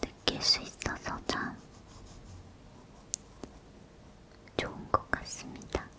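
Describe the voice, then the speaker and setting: Soft-spoken whispering at a very slow pace over light background noise. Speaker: ASMR creator. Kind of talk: soft spoken ASMR chat while drawing. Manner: soft ASMR whisper while drawing.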